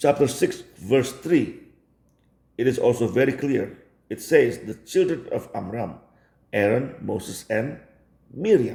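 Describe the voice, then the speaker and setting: A man's medium-pitched, dark, mellow, somewhat breathy voice, fairly slow with long, frequent pauses and ordinary pitch variation. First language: Indonesian. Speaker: religion commentator. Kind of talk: video commentary.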